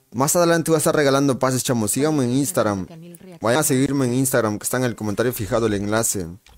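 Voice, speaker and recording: This man talks very fast in an animated tone. His pitch is medium with ordinary variation. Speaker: gaming livestreamer. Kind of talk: live gameplay stream chat.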